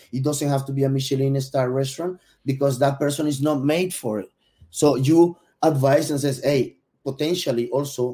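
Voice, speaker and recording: Speaking in a Spanish accent at a moderate pace, a man uses a medium pitch, a dark, mellow tone and fairly even intonation. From Venezuela. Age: 40s. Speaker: gastronomy consultant. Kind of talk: casual interview. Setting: live stream.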